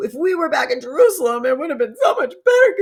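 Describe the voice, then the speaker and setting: This put-on character voice is high-pitched and whiny. It races at a very fast pace with very wide pitch swings. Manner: complaining.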